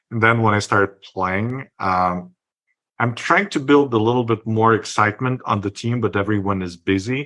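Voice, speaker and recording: A man with a non-native accent speaks at a moderate pace and fairly low pitch, in a bright, sharp tone. His intonation is fairly even, against a quiet background. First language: not English. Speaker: podcast host, marketer. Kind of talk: casual interview.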